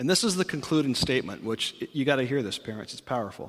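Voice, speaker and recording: Here is a normal speaking voice from a man. He has a fairly high pitch and lively intonation. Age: 40s. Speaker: pastor. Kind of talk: sermon.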